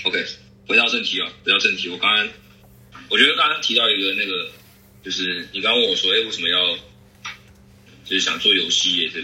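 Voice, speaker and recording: A very fast man with a Taiwanese accent over noticeable background noise. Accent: Taiwanese Mandarin. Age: 20s. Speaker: photographer moving into game industry. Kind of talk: casual interview conversation. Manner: halting, repetitive.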